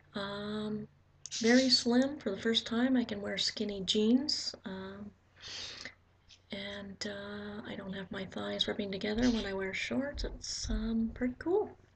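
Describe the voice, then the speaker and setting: A soft-spoken woman talks at a very slow pace, her loudness swinging widely. Noticeable background noise runs underneath. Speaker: vlogger. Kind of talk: casual video diary. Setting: at home. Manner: halting.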